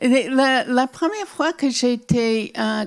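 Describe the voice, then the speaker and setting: Speaking at a very slow pace, a woman uses lively intonation and a high pitch. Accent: American. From US Northeast (Newark, New Jersey). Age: 70s. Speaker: children's author. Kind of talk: interview with audience Q&A. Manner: halting, repeats words.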